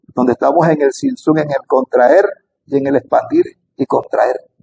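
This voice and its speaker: Dry, close sound with no echo on a man's voice at a moderate pace. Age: 60s. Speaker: spiritual teacher on Kabbalah. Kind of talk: spiritual talk to camera. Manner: halting.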